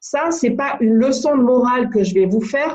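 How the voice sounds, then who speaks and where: Her voice sits high. She varies her pitch an ordinary amount. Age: 60s. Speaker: business coach. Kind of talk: motivational talk.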